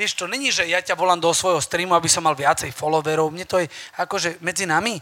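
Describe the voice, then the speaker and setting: A loud man with a high-pitched voice and a fairly quick pace. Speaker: personal trainer. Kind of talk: live talk to audience. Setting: stage with audience.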